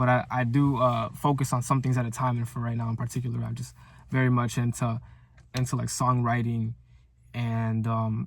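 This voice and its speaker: In a very clean recording with a silent background, a man speaks in an animated, somewhat breathy tone. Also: medium pitch for a man, moderate pace. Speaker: content creator. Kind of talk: motivational video diary monologue. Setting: talking to camera. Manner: stuttering, many fillers and repeats; casual, animated.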